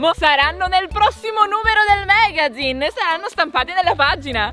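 A woman's raised, projected voice comes at a fairly quick pace over faint background music, the sound dry with no echo. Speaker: content creator promoting a magazine. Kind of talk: casual vlog chat. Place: garden. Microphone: phone near.

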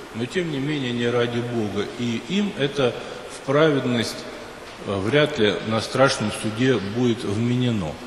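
A man talks at a very slow pace. Light background noise and audible room echo are present. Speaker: priest. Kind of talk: sermon. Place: church.

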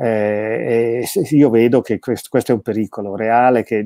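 A man speaks with a dark, mellow tone. The background is quiet and the sound is dry with no echo. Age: 50s. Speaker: theologian and philosopher, author; interview guest. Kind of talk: interview about his book. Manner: frequent hesitations and word repetitions. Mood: reflective, thoughtful. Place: home room.

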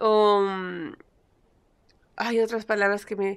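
The woman's voice is fairly high in pitch. She speaks at a very slow pace over a quiet background. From Peru. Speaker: YouTuber; vlogger. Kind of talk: casual vlog monologue. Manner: halting, stumbles over words. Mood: animated, a bit exasperated. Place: home room. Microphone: phone near.

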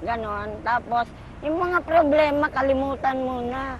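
A woman's high voice, fairly slow, with ordinary pitch variation. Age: 60s. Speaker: street vendor. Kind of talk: elderly street vendor's warm interview testimony about her life and wishes. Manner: rambling, homely, with filler words and asides; cheerful, laughing.

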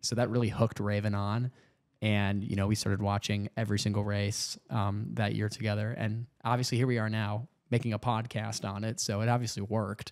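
Against a quiet background, a man talks at a fairly quick pace with fairly low pitch and monotone, flat intonation. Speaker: podcast co-host. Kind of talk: casual chat. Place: home room. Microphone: studio mic.

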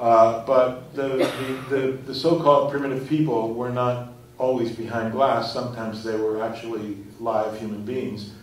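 Audible room echo surrounds the voice. The pace is moderate and the intonation fairly even. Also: man. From Puerto Rico. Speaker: artist and curator. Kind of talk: lecture. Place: hall. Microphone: podium.

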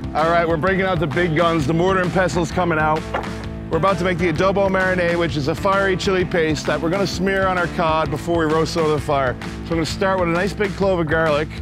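Clear music plays behind a man who speaks at a very fast pace in a dry recording with no echo. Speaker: chef host. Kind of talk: tutorial. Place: beach. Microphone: lapel.

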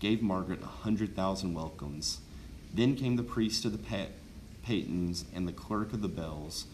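Natural-voiced reading aloud

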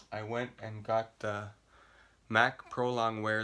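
Very slowly, a man speaks at a fairly low pitch in a monotone, flat intonation. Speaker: makeup vlogger. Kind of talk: casual vlog tutorial. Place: home room. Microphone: phone near.

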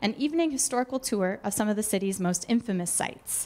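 A woman with an ordinary speaking voice talks at a fairly quick pace, with a fairly high pitch and ordinary pitch variation. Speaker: museum event host introducing speaker. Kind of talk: formal introduction. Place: hall. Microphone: handheld.

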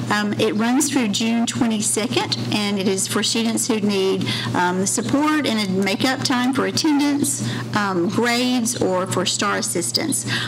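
Fairly slow speech over noticeable background noise. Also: woman. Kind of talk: formal report at public meeting. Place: meeting room. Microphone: podium.

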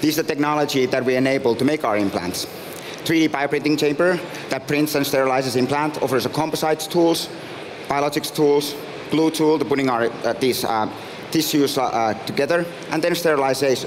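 Speaking at a fairly quick pace with a Finnish accent, a man keeps very even loudness and fairly even intonation over light background noise. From Finland. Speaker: startup founder and CEO. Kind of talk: pitch presentation. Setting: stage with audience. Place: stage. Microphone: headset.

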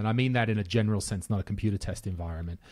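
Against a quiet background, a man speaks with an Australian accent. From rural Australia. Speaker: podcast host. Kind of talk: casual chat. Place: home room. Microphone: studio mic.

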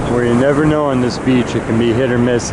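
Noticeable background noise with a dry sound and no echo. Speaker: rockhounding vlogger. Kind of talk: casual vlog narration. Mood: calm, admiring. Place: beach.

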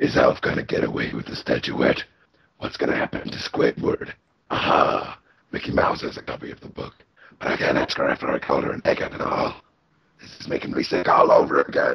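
In a raspy, put-on character voice at an extremely high pitch, a man speaks at a fairly quick pace. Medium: fan dub. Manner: whiny, plotting.

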